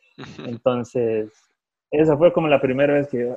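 At a moderate pace, the speech keeps a fairly even intonation. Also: man. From California, US, Salvadoran-Guatemalan parents. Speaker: professional football goalkeeper. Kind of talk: casual interview. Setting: phone call.

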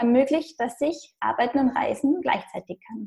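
A woman with an Austrian accent, a high pitch and a dark, mellow tone, at a moderate pace. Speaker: blogger and digital nomad. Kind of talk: interview. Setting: internet recording.

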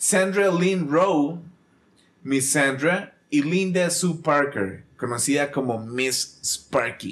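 Speaking very slowly, a man with a Costa Rican accent keeps his loudness very even and his pitch fairly high. His pitch variation is ordinary. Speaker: podcast host. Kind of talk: casual chat; reading aloud.

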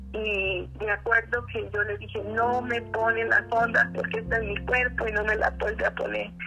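Background music plays throughout. Her delivery, a woman's, is fairly slow. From Central America (Costa Rica / Honduras). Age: 60s. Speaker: author and psychologist. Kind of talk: testimony.

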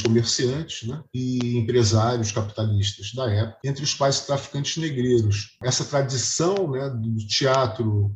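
A man's somewhat breathy voice at medium pitch, with ordinary pitch variation and a fairly slow pace. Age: 50s. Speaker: music historian and composer. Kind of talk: interview.

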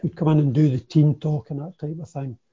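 Here a man speaks with an Ayrshire accent. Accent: Ayrshire Scottish. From Scotland, Kilmarnock (Ayrshire). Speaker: former footballer. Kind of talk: casual interview.

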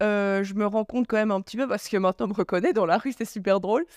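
A normal speaking voice with fairly even intonation, on a very clean recording with a silent background. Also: woman, dry, close sound with no echo. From Belgium, Charleroi. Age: 20s. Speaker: influencer and blogger. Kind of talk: casual interview.

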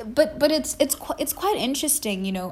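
Somewhat breathy, this woman's voice has a soft trace of air in it. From South Africa (Zulu). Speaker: podcast host, wellness. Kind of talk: solo podcast monologue. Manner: halting, with many fillers.

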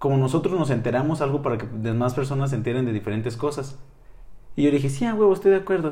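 A man speaks very fast in a fairly high pitch, somewhat breathy with a dark, mellow tone. Audible room echo surrounds his voice. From northern Mexico, Chihuahua. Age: 20s. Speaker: psychology student and podcaster. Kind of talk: casual interview.

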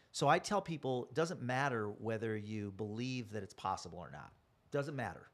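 With an American accent, a man of medium pitch uses a normal speaking voice at a moderate pace. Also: lively intonation, big swings in loudness. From US Midwest, Chicago south suburbs. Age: 60s. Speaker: network marketing speaker. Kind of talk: interview.

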